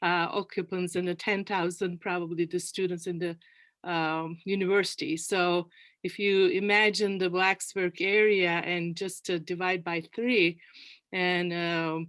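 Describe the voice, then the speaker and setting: With a Turkish accent, a woman of fairly low pitch speaks at a fairly slow pace in a monotone, flat intonation, in a very clean recording with a silent background. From Turkey, Ankara. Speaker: panel guest, community leader. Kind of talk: panel interview.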